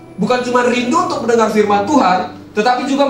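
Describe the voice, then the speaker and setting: Noticeable background noise and audible room echo accompany a man speaking very fast in an animated tone at an extremely high pitch with ordinary pitch variation. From Medan, North Sumatra, Indonesia. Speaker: youth pastor. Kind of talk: sermon. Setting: church stage with audience.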